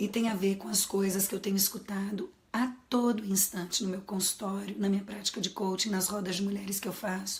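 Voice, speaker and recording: A woman's medium-pitched, flat monotone at a fairly quick pace with hardly any pauses, over noticeable background noise. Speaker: psychologist and coach. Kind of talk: live stream talk. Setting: live stream.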